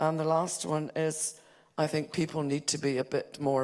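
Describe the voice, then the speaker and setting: A woman's very deep, low voice with a Hebridean accent, ordinary pitch variation and a fairly slow pace. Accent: Hebridean Scottish. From Scotland, Isle of Lewis. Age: 70s. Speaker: conference delegate. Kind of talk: audience contribution. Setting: conference hall with audience.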